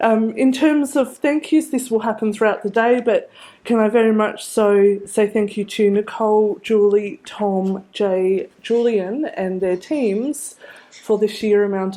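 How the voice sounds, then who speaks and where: A woman with an Australian accent at medium pitch, a fairly slow pace and ordinary pitch variation, over noticeable background noise. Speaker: criminologist. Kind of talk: conference presentation.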